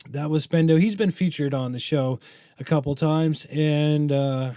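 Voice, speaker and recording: The recording is very clean, its background silent. A man talks throughout. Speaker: podcast host and music presenter. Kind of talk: casual radio-style talk. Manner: stumbling over words; casual, filler-heavy.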